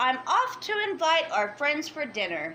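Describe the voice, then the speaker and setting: A woman's put-on character voice, high in pitch with very wide pitch swings, at a moderate pace over clear background noise. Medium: read story.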